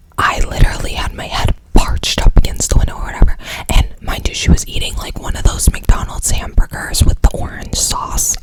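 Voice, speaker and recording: Someone whispers. Noticeable background noise is present. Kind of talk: ASMR storytime ramble. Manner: casual, chatty.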